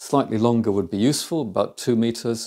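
Dark, mellow male tones over a quiet background. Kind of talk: tutorial. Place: kitchen.

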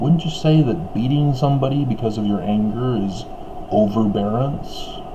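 A man talks at a moderate pace with ordinary pitch variation against noticeable background noise. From Utah, US. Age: 50s. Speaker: religious commentator. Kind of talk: monologue commentary; casual vlog commentary. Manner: casual, halting with fillers. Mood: critical, earnest. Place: home room. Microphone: webcam.

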